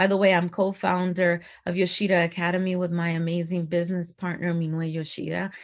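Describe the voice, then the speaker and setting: A woman's animated, fairly low-pitched voice on a very clean recording with a silent background. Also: fairly quick pace. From Dominican Republic, moved to US at six. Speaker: performance coach and entrepreneur. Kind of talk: casual interview.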